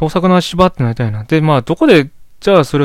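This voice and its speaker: Lively intonation marks a man's very fast speech. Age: 20s. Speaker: solo podcaster. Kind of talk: casual monologue. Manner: rambling, hesitant.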